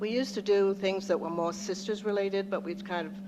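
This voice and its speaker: This speaker is soft-spoken. The delivery is fairly quick. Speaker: local historical society representative. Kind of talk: presentation at public commission meeting. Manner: hesitant, many fillers.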